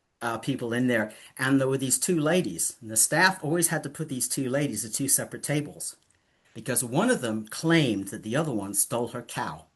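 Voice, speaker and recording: Over a quiet background, a somewhat breathy man talks at a fairly quick pace with lively intonation. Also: medium pitch for a man. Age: 70s. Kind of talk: casual interview chat.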